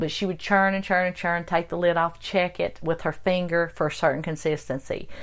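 Over a very clean recording with a silent background, a woman speaks in an Appalachian accent. Her fairly low voice moves at a moderate pace with monotone, flat intonation. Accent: Appalachian mountain. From Western North Carolina. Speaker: guest, host's mother. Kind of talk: casual interview, storytelling.

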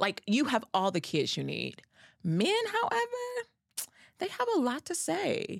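A woman with an American accent at a fairly slow pace, with long, frequent pauses. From Cincinnati, Ohio. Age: 30s. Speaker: guest, self-employed. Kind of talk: casual chat.

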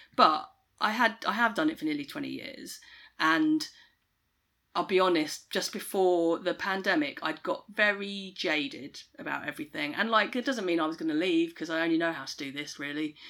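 In a southern English accent, a woman talks at a moderate pace with a bright, sharp tone, fairly low pitch and lively intonation. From Kent, southeast England. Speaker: tour manager. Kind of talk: interview conversation. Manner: hesitant, many fillers.

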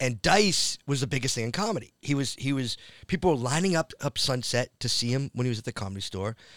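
A man with a medium pitch and an American accent talks at a very fast pace with lively intonation. The recording is very clean, with a silent background and a dry, close sound with no echo. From Massachusetts (Framingham, near Boston). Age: 50s. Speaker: comedian and actor. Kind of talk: casual chat.

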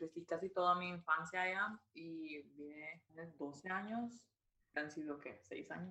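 A woman's fairly low voice, bright and sharp in tone, with ordinary pitch variation, big swings in loudness and a fairly slow pace. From Guatemala (Jutiapa). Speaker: student. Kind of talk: interview.

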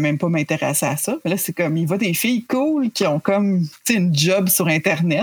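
Somewhat breathy speech moves at a fairly quick pace on a very clean recording with a silent background. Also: woman. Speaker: video game journalist. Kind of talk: podcast interview.

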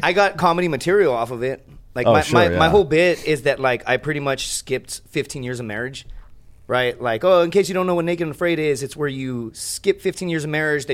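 An ordinary speaking voice from a man, fairly high in pitch, at a fairly quick pace with ordinary pitch variation. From Laredo, Texas. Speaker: stand-up comedian, podcast guest. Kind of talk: casual, slangy.

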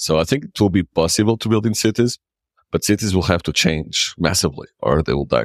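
This man, with a Portuguese accent, talks at a fairly quick pace in a very deep, low voice with lively intonation, recorded dry and close with no echo. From Portugal, Lisbon. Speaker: nomad community founder. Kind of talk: interview. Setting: remote call.

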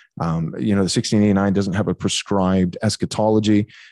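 Very fast and dark, mellow in tone, a man with a fairly low pitch comes through in a dry, close sound with no echo. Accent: American. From Texas (Bay City). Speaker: pastor. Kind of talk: interview conversation. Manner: hesitant, many fillers.

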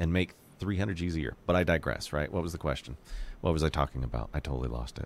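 Very fast and very deep, a man's voice carries vocal fry and ordinary pitch variation. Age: 40s. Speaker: podcast producer. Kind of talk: casual chat. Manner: animated.

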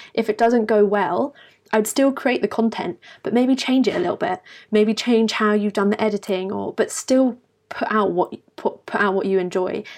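Over a quiet background, a woman with a British accent talks at a moderate pace in a fairly high voice with ordinary pitch variation. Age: 20s. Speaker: university student and lifestyle YouTuber. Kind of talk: casual interview chat.

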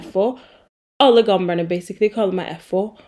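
Her voice has a dark, mellow tone, heard on a very clean recording with a silent background. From Oslo, Romsås. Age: 20s. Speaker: podcast host. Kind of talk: casual Q&A monologue.

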